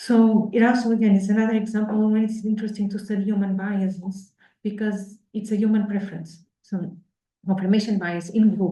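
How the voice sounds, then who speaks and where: A woman speaks at a medium pitch in a somewhat breathy, dark and mellow tone with flat, monotone intonation. She talks at a fairly quick pace, and audible room echo can be heard. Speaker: researcher presenting at workshop. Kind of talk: academic talk with Q&A. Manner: fast; hesitant, many fillers.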